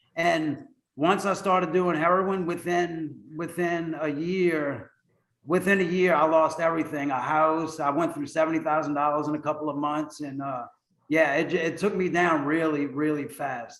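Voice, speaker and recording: A man with an American accent talks at a moderate pace with fairly even intonation in an unremarkable speaking voice. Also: fairly high pitch for a man. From US South, New Orleans. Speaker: navy veteran in recovery. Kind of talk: interview testimony.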